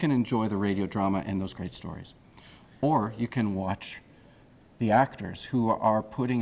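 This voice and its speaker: At a moderate pace, a man talks in an ordinary speaking voice with a fairly low pitch and ordinary pitch variation. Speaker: theatre director or performer. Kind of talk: interview answer.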